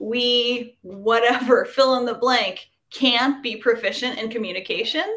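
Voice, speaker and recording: A woman speaks in a high voice. Her pace is fairly slow. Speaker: veterinarian and author. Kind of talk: interview. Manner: practiced public speaker.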